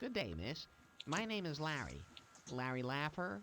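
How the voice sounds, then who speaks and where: A man's put-on character voice at a fairly high pitch, with very wide pitch swings, a moderate pace and clear background noise. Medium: video game. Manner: awkwardly polite.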